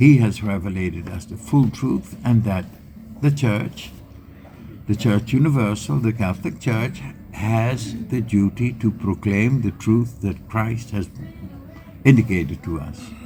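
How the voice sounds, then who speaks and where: A man with a Dutch accent, fairly low in pitch, lively in intonation, at a fairly slow pace. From Netherlands. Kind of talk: interview. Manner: halting.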